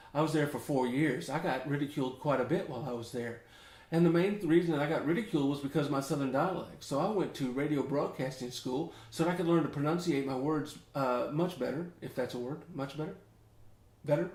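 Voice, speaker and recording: Over an audible room echo, a man with a fairly high voice talks at a very fast pace. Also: ordinary pitch variation. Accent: American. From US South, Memphis, Tennessee. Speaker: ukulele teacher. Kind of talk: tutorial, casual chat. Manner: casual, rambling conversational.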